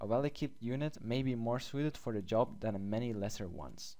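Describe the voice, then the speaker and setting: A man with a non-native accent, medium pitch, lively intonation and a moderate pace. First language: not English. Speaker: gaming youtuber. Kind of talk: gameplay commentary. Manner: hesitant with fillers; reads game text aloud.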